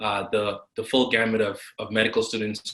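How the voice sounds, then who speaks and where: A man with a medium pitch and a bright, sharp tone talks at a fairly quick pace. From Guyana. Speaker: physician, lending company co-founder. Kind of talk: interview. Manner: halting, many fillers.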